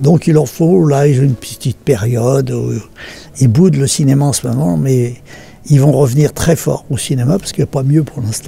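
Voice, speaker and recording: Faint music plays in the background as a man talks at a moderate pace. His pitch varies in an ordinary way, and the sound is dry with no echo. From France. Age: 80s+. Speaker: film director. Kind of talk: interview answer. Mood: reflective, thoughtful.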